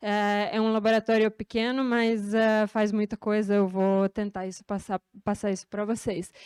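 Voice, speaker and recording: A woman speaks with a slight Serbian accent, her pitch fairly high and her pace fairly slow. The sound is dry and close with no echo, on a very clean recording with a silent background. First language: Serbian (speaking Portuguese). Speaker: researcher. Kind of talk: lecture. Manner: hesitant, many fillers.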